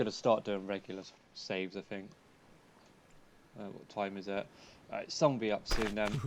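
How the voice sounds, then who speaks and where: Long, frequent pauses break up the speech of a man with a British accent. He talks at a fairly quick pace with fairly even intonation. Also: big swings in loudness. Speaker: gaming streamer. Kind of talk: live game stream commentary. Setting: live stream.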